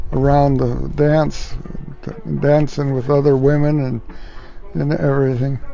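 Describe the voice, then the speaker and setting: Over music in the background, a man speaks in a relaxed tone at a fairly slow pace, with monotone, flat intonation. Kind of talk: family storytelling, casual anecdote. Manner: relaxed, halting, conversational.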